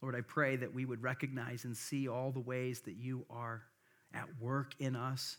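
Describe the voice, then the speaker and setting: In a very clean recording with a silent background, a man with an American accent speaks at a medium pitch and a moderate pace in a monotone, flat intonation. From US Midwest. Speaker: pastor. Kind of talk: sermon. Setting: church. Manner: casual, hesitant with many filler words.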